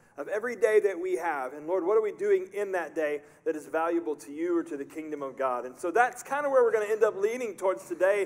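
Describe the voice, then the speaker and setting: The speaker is a man with a high pitch. His intonation moves in a lively way. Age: 40s. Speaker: pastor. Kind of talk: sermon. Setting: church. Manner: animated. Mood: earnest, reflective. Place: church.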